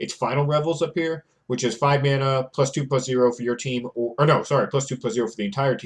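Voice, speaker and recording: A man's medium-pitched, somewhat breathy voice at a very fast pace, with ordinary pitch variation over a quiet background. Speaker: Magic card game content creator. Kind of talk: gameplay commentary tutorial.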